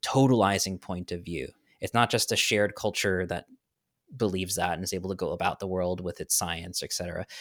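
Recorded very cleanly against a silent background with a dry, close sound and no echo, a man with an American accent talks at a fairly quick pace in an ordinary speaking voice, fairly low in pitch with ordinary variation. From New York. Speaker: author. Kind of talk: casual chat.

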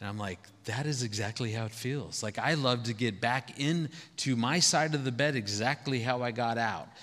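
A man has a plain, everyday voice at a medium pitch, with ordinary pitch variation, a moderate pace and hardly any pauses. The recording is very clean, with a silent background. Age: 50s. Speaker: marriage speaker. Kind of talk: sermon.

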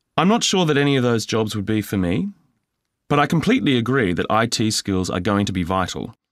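Lively intonation and a fairly quick pace come through on a very clean recording with a silent background. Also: man, medium pitch for a man. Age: 20s. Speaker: mature student. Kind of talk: scripted role-play dialogue.

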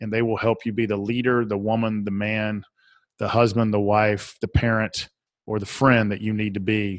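A man speaks in a Southern US accent. His intonation is monotone and flat. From Atlanta, Georgia, US South. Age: 40s. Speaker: author and speaker. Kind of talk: casual interview.

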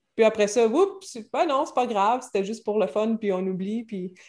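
A woman speaks in a normal speaking voice, fairly high in pitch and at a moderate pace. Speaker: French teacher. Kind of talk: casual interview.

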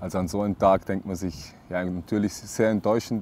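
A man speaks with a dark, mellow tone at a fairly quick pace. His intonation is monotone and flat. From Austria, Vorarlberg. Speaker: professional football goalkeeper. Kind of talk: casual interview.

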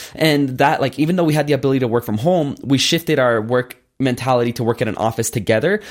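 A man talks at a very fast pace in a medium pitch, his pitch varying in an ordinary way. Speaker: entrepreneur. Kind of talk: interview.

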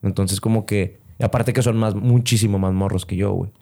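A man's fairly low pitch and dark, mellow tone, with monotone, flat intonation at a moderate pace, on a very clean recording with a silent background. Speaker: comedian. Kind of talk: casual chat.

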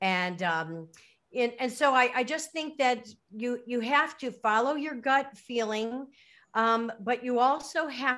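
A woman with an American accent speaks very slowly at a high pitch in a bright, sharp tone, over a quiet background. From US Midwest, Chicago suburbs. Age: 50s. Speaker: author and retired educator. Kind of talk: interview. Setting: remote call. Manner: halting, many fillers.

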